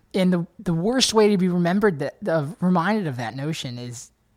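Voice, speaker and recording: The intonation here is lively. It belongs to a man. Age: 20s. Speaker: country guitarist. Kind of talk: casual interview. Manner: animated.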